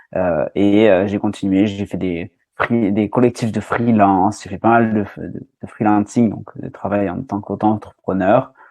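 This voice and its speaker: Speaking at a fairly slow pace with hardly any pauses, a man uses a fairly low pitch, a dark, mellow tone and a monotone, flat intonation. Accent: southwestern French. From southwest France (Landes). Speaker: recruiter and marketer. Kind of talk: podcast interview. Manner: hesitant, many fillers.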